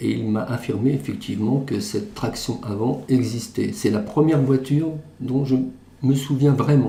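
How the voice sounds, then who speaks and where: A man's moderately paced speech, ordinary in pitch variation, carries audible room echo. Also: medium pitch for a man. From western France, Charente-Maritime. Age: 60s. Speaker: retired banker. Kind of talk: testimony.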